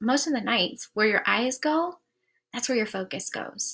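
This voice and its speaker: The tone is animated. Pitch varies in an ordinary way. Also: woman. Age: 40s. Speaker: life coach. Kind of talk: live stream coaching session. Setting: live stream on social media. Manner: fast.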